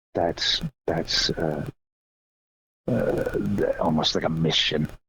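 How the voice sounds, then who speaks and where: A man speaks at a very slow pace with an American accent. Music plays in the background. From Florida. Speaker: percussionist and visual artist. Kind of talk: interview. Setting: phone call. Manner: halting, repetitive.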